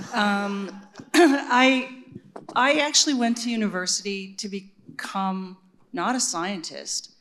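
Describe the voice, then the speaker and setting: Over noticeable background noise, a woman with a fairly high pitch speaks very slowly and with lively intonation, leaving long, frequent pauses. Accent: Canadian. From Regina, Saskatchewan, Canada. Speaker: neuroscientist and university administrator. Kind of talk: panel discussion.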